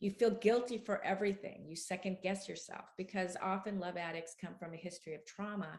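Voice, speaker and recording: A woman with an unremarkable speaking voice talks at a fairly quick pace with hardly any pauses, medium pitch, fairly even intonation and big swings in loudness. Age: 60s. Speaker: author and love addiction expert. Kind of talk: interview.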